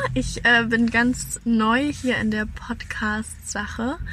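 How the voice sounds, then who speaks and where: A woman talks very slowly. Behind her, background noise is noticeable. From Hesse, near Frankfurt, Germany. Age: 20s. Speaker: bridal shop co-owner. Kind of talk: casual chat. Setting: in a car.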